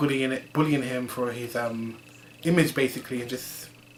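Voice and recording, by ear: A man at medium pitch, fairly even in intonation, at a moderate pace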